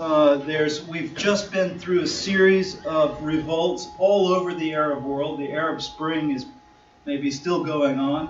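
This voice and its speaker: The speaker talks at a fairly slow pace with fairly even intonation, amid audible room echo and noticeable background noise. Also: man, fairly high pitch for a man. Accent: American. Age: 50s. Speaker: lawyer and discussion-group chair. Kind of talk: conference talk. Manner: hesitant, many fillers.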